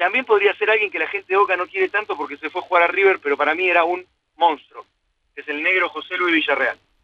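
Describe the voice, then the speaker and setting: A man speaks at a very fast pace in a high voice. His loudness swings widely, while his pitch varies in an ordinary way. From Argentina, Buenos Aires area. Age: 40s. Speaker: sports journalist. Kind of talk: casual interview. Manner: halting.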